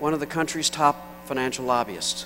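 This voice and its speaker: Moderate-paced speech from a man, fairly high in pitch with ordinary pitch variation, over noticeable background noise. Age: 60s. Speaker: economist and keynote speaker. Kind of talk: keynote speech. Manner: halting.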